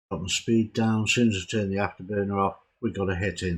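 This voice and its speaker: On a very clean recording with a silent background, a man speaks quietly at a moderate pace in a fairly low pitch with monotone, flat intonation. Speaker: gaming video creator. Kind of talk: tutorial. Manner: hesitant, many fillers.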